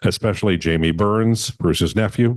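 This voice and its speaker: A normal speaking voice at a fairly quick pace, with ordinary pitch variation over a quiet background. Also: man. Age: 60s. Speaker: memorial emcee. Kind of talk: eulogy.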